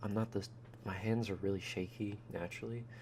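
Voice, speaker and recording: Soft-spoken and monotone, a man talks in a flat, fairly low voice. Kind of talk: ASMR voice-over narrating a teardown. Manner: rambling, casual.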